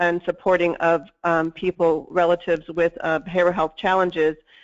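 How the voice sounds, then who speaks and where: A shaky woman's voice at a medium pitch. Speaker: mental health services researcher. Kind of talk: webinar presentation. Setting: webinar.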